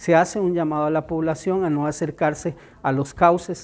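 Here a man talks at a moderate pace and a fairly high pitch. His intonation is fairly even. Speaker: emergency management official. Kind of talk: press statement. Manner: hesitant, frequent filler sounds.

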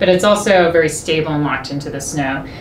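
A woman speaks at a fairly quick pace, her pitch low for a woman and ordinary in its variation. Background noise is clearly audible.

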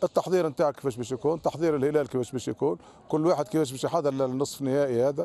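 A man's dark, mellow voice at a very fast pace, dry with no echo. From Tunisia. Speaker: football coach. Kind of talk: post-match interview. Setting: at the stadium after the match. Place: stadium. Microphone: handheld.

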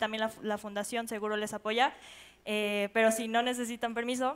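Her pitch fairly high, a woman speaks in a monotone, flat intonation. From Mexico. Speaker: community leader; panelist. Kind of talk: panel discussion. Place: stage.

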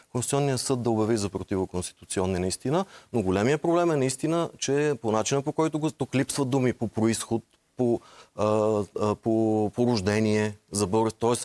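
Fairly quick male speech full of lively intonation. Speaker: lawyer and former member of parliament. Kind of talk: TV interview. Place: studio. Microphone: lapel.

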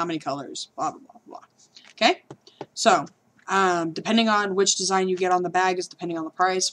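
An ordinary speaking voice, a woman at a fairly low pitch talks at a fairly quick pace with fairly even intonation over light background noise. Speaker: small merch seller. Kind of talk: casual vlog chat. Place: home room. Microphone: headset.

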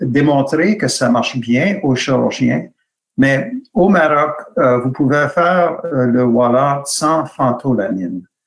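In an English accent, the voice moves at a very slow pace with lively intonation and very even loudness over a quiet background. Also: man. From Canada. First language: English (speaking French). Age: 60s. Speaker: hand surgery professor. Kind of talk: webinar lecture. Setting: video call. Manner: halting. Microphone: video call.

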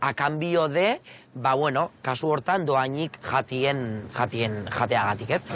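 A fairly high-pitched man in a dry sound with no echo. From Basque Country (Azkoitia, Gipuzkoa); Basque Country. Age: 20s. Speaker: content creator. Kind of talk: casual interview. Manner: animated. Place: street. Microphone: lapel.

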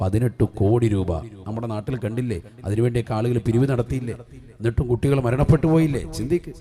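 Ordinary pitch variation marks the man's speech. There is a somewhat breathy quality to his voice. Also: medium pitch for a man. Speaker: Islamic preacher. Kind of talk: sermon. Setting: religious gathering with audience.

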